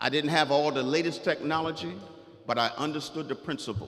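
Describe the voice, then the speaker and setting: With a South Carolina accent, a man speaks in an animated tone at a moderate pace. Noticeable background noise runs underneath. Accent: Southern US (South Carolina). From US South. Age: 60s. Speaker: author and guest speaker. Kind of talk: motivational speech to students. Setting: school assembly with audience. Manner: animated, interactive with audience.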